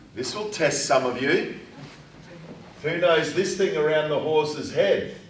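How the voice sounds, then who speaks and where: A man talks at a fairly slow pace with long, frequent pauses and ordinary pitch variation. Noticeable background noise and audible room echo surround him. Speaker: writing teacher. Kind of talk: classroom lesson. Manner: loud.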